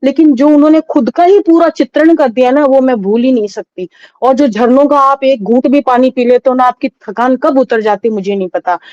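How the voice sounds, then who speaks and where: A woman's high-pitched, dark, mellow voice with lively intonation at a moderate pace, dry and close with no echo. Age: 50s. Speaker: devotee sharing experiences. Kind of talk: testimony.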